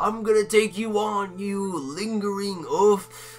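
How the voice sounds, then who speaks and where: A put-on character voice from a man, high-pitched, at a fairly slow pace, with clear background noise. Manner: defiant, boastful.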